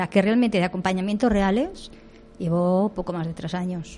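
Over a quiet background, a somewhat breathy voice with a dark, mellow tone moves at a moderate pace with fairly even intonation. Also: woman. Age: 60s. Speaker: doula. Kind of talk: radio interview.

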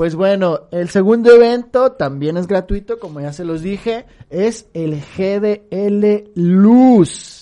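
A woman's dark, mellow voice at medium pitch, with ordinary pitch variation, big swings in loudness, a very slow pace and hardly any pauses. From Mexico, Guadalajara. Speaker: podcast co-host. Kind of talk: casual chat.

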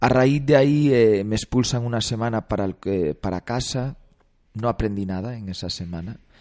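With an ordinary speaking voice, a man talks at a moderate pace with ordinary pitch variation, the sound dry and close with no echo and the background quiet. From Galicia, Spain. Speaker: actor and film director. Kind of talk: radio interview. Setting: studio.

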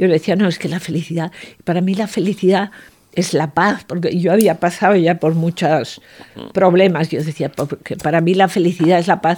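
At a moderate pace, a woman speaks with a dark, mellow tone, fairly low pitch and fairly even intonation. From Aragon, Spain (Zaragoza). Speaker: portrait painter. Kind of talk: interview. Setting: painter's studio.

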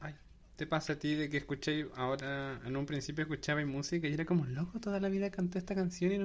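Against a quiet background, a man with a fairly high pitch speaks at a very fast pace. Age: 20s. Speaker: podcast host. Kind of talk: casual chat.

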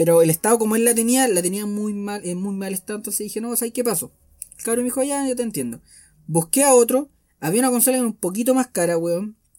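A man's high-pitched, dark, mellow voice at a very fast pace, with ordinary pitch variation. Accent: Santiago Chilean. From Chile. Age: 20s. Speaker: solo podcaster. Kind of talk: casual monologue.

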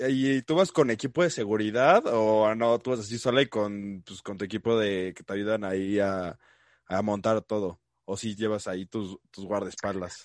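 Big swings in loudness, a fairly slow pace and ordinary pitch variation, with a dry, close sound, no echo, and a quiet background. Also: man, fairly low pitch for a man. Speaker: podcast host. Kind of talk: casual interview. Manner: chatty.

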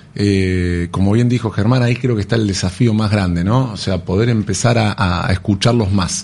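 An ordinary speaking voice comes through at a fairly slow pace. Its pitch varies in an ordinary way. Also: man. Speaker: business partner of a retail company. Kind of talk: radio interview.

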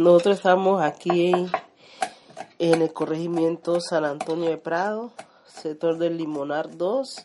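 A woman's fairly low voice, with fairly even intonation, is heard against noticeable background noise. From Colombia, Chocó (Condoto). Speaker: community leader and home cook. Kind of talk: casual interview while cooking.

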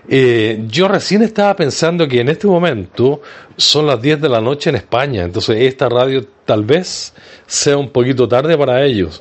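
Speaking at a moderate pace, a man uses lively intonation and a medium pitch while his loudness stays very even. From Chile. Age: 60s. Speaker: online radio host, support group organizer. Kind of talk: casual livestream talk.

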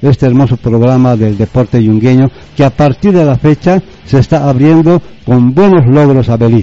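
A man speaks in an unremarkable speaking voice at a fairly high pitch. His pace is fairly slow. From Bolivia, Yungas of La Paz (Chulumani). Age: 60s. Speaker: former football organiser. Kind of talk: radio interview. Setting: radio studio.

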